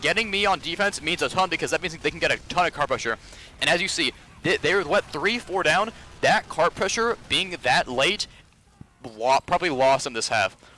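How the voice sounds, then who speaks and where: Over noticeable background noise but in a dry, close sound with no echo, a man with a high pitch talks at a fairly quick pace with lively intonation. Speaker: competitive gamer reviewing own match. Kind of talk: match demo review. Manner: fast, casting-like delivery; halting, frequent self-corrections.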